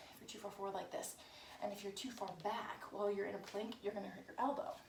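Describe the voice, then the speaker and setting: A soft-spoken woman with a medium pitch and fairly even intonation talks amid audible room echo. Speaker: fitness instructor. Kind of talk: tutorial.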